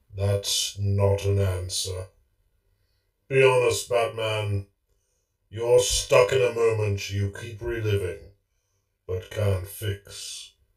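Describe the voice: Putting on a character voice, a man talks at a very slow pace in a fairly low pitch, with long, frequent pauses.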